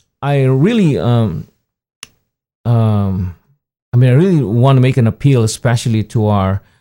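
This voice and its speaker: Set against a silent background in a very clean recording, a man's dark, mellow voice sits at medium pitch and moves at a moderate pace. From Philippines. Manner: halting, hesitant with fillers.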